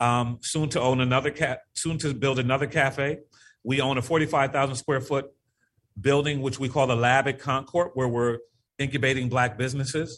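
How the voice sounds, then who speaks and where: A man with an American accent talks at a moderate pace and a medium pitch. His intonation is monotone and flat. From Connecticut, US (Norwalk). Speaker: community economic development leader. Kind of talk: interview.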